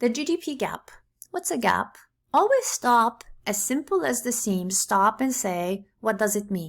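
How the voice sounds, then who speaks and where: A woman's fairly high voice with lively intonation, vocal fry and a fairly slow pace. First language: not English (English is third language). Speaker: economics teacher. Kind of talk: lecture. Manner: casual, conversational with fillers.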